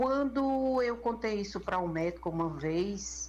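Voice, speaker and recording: Room echo is audible as a woman speaks at a very slow pace. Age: 60s. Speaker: listener sharing a health case. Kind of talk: recorded personal testimony.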